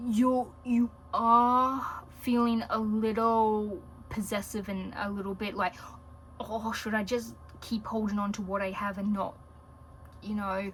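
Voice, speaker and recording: With an Australian accent, a woman talks at a fairly high pitch in a monotone, flat intonation. Her pace is fairly slow, with long, frequent pauses. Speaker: tarot reader. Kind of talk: tarot reading video. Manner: casual, with frequent fillers.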